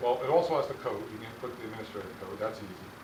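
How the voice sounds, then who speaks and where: Delivered at a very fast pace, the speech comes with audible room echo and noticeable background noise. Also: man. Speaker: policy consultant presenting to a school board. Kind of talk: sales presentation. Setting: school board meeting.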